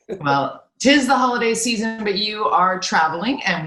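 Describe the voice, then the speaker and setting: A woman with a Canadian accent talks at a moderate pace, her pitch swinging very widely, with audible room echo around her. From Canada. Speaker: broadcaster, interview host. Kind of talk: interview.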